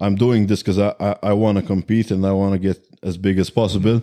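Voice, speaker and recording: A man with a Maltese accent has a dark, mellow tone. He talks at a fairly quick pace in a monotone, flat intonation. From Malta. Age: 20s. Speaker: bodybuilder. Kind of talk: casual interview.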